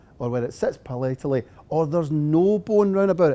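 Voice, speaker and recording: Speaking with a Scottish accent at a fairly quick pace, a man uses a fairly high pitch and a dark, mellow tone. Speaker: dentist and implant lecturer. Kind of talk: lecture.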